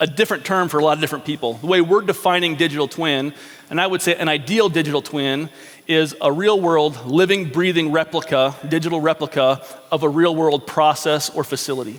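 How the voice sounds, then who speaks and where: Against noticeable background noise, a man talks at a fairly quick pace in a fairly high voice with ordinary pitch variation. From Alaska, Anchorage. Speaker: engineering consultant. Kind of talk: conference presentation. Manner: fast.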